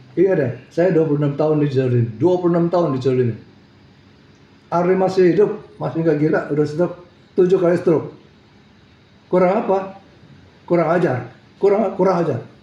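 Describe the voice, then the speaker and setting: With an animated tone and ordinary pitch variation, the speaker moves at a fairly quick pace, breaking it with long, frequent pauses, keeping the loudness very even while room echo is audible. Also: man, high pitch for a man. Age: 60s. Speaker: businessman in a legal dispute over seized assets. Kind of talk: press statement.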